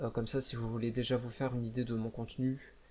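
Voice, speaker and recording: A man at medium pitch with a dark, mellow tone and monotone, flat intonation. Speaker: VTuber, gaming YouTuber. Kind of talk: channel introduction video. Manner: stammering, searching for words.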